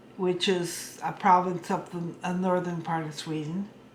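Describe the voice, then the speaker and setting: Audible room echo surrounds this voice. A woman with an American accent speaks in a monotone, flat way. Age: 70s. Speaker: storyteller. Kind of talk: personal reminiscence. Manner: halting.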